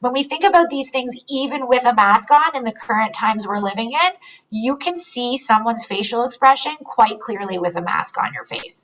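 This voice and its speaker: Her pitch is high and her intonation lively. The woman keeps a moderate pace. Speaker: psychogeriatric resource consultant, webinar presenter. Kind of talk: webinar presentation. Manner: animated.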